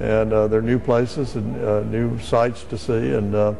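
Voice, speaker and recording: A man with an American accent talks at a moderate pace and a fairly low pitch. Audible room echo and noticeable background noise come through as well. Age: 60s. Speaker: ambassador. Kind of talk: interview. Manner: halting, many filler words.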